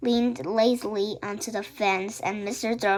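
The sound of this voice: The unforced reading voice holds to fairly even intonation.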